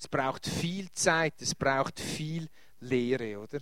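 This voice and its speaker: A man's voice at a very slow pace, with lively intonation. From Switzerland, Winterthur area. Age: 50s. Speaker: pastor. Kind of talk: lecture. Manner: halting.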